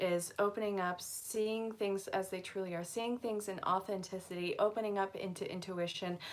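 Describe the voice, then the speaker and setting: Using a monotone, flat intonation at medium pitch, a woman with an American accent talks at a moderate pace with hardly any pauses. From Vermont, US. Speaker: angel card reader. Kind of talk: live stream reading. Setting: live stream.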